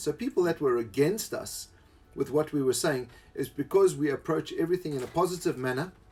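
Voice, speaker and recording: Somewhat breathy, a man talks at a fairly quick pace in a fairly high pitch. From South Africa. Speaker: live stream co-host. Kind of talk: casual live stream chat. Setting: live stream.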